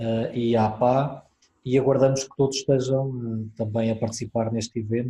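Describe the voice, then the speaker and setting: A man's somewhat breathy, dark, mellow voice at medium pitch, with a European Portuguese accent, moderate pace and monotone, flat intonation. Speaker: webinar moderator. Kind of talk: webinar moderation. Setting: video call webinar.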